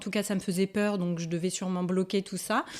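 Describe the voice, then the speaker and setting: A woman with a medium pitch speaks at a moderate pace on a very clean recording with a silent background. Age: 40s. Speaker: energy healer and spiritual guide. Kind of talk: interview. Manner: hesitant, many fillers.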